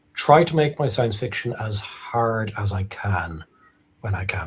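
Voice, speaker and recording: With an Irish accent, a man talks at a fairly low pitch. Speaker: author. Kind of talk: live interview. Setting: live stream.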